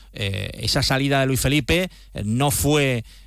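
A normal speaking voice carries ordinary pitch variation. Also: man. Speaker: sports reporter. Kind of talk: sports news report.

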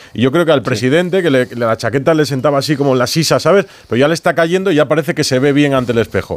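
At a very fast pace with hardly any pauses, a man talks in a fairly high pitch, his loudness very even and his pitch variation ordinary. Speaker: sports radio host. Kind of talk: radio show presenting. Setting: studio.

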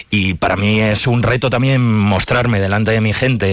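The pace is moderate. The voice belongs to a man. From Palencia, Spain. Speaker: playwright and director. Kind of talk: interview.

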